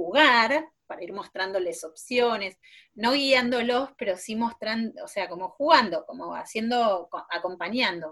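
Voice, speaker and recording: An ordinary speaking voice from a woman, fairly high in pitch, at a fairly slow pace, with lively intonation. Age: 40s. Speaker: preschool teacher. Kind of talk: casual interview chat.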